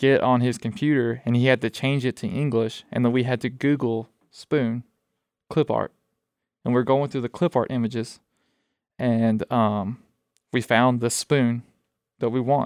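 A man with an Alabama accent talks at a medium pitch and moderate pace with fairly even intonation. The sound is dry and close, without echo. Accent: Southern US (Alabama). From Alabama, US South. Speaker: student veteran, former Marine. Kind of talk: casual interview chat.

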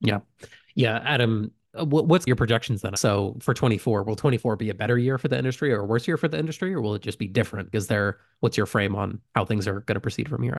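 A man at a very fast pace, medium pitch and ordinary pitch variation, dry and close with no echo, over a quiet background. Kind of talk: casual chat. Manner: fast talker.

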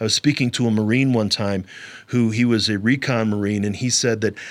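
A man with an American accent and an ordinary speaking voice talks at a fairly quick pace. His pitch sits fairly low, with fairly even intonation. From US Midwest (St. Louis, Missouri). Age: 40s. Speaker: podcast host, army veteran and mental health counselor. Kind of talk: solo podcast monologue.

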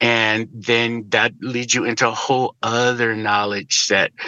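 A man with an American accent speaks in a normal speaking voice, medium in pitch, with fairly even intonation. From Chicago, US Midwest. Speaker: political activist. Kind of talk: casual chat.

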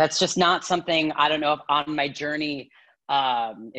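Pitch varies in an ordinary way. The background is quiet. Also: woman. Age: 30s. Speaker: yoga teacher. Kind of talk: casual chat. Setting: video call. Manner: laughs a lot.

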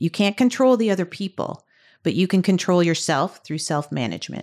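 Speaking at a moderate pace in a normal speaking voice with a Canadian accent, the voice sits on a very clean recording with a silent background. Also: woman. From Canada, Ontario (Burlington). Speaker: tech industry manager. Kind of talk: interview.

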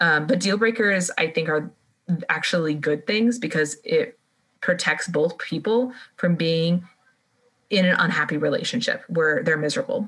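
A woman's fairly low voice at a moderate pace, with ordinary pitch variation and very even loudness. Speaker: podcast co-host. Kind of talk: casual chat. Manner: animated.

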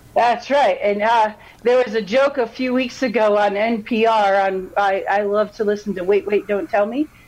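Speaking at a moderate pace, a woman has a fairly high pitch and ordinary pitch variation.

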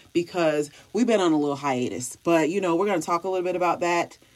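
A woman speaks in a fairly low voice. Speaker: podcast host. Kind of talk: casual podcast monologue.

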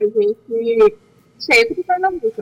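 The sound is dry and close, without any echo. A woman's pitch swings very widely as she talks. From Brazil, Santarém, Pará (Amazon region). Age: 20s. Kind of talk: interview.

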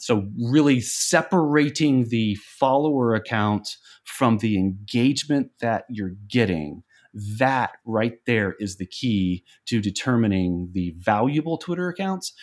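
A man with a normal speaking voice and fairly low pitch uses lively intonation in a very clean recording with a silent background. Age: 30s. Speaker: early retiree and blogger. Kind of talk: casual interview.

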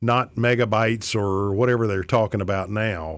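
On a very clean recording with a silent background, a man uses a normal speaking voice at a fairly low pitch with ordinary pitch variation. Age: 50s. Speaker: radio host and attorney. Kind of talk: talk radio monologue. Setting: radio studio.

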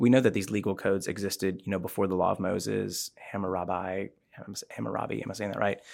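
A man with an ordinary speaking voice and fairly low pitch, talking at a fairly quick pace, on a very clean recording with a silent background. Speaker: church campus pastor and Bible teacher. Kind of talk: casual conversational Bible discussion.

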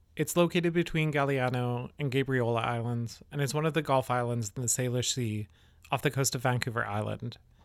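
A man's plain, everyday voice at a medium pitch, fairly quick in pace with fairly even intonation, on a very clean recording with a silent background. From Canada, Yellowknife. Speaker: podcast host. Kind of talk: scripted narration.

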